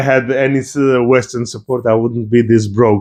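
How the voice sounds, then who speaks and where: In a Georgian accent, a man talks with fairly even intonation. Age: young. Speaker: YouTuber, history and politics commentator. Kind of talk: rant video, political commentary.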